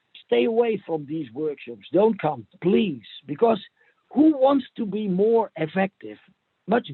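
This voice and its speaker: Pitched high, a man speaks at a fairly slow pace, his pitch swinging very widely. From Netherlands. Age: 50s. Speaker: provocative coach and therapist. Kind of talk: interview. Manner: halting, many repeats and fillers; playful, ironic.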